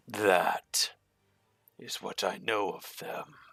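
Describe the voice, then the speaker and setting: In a raspy, put-on character voice, a man speaks. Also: fairly low pitch for a man. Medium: actual play. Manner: measured, sly.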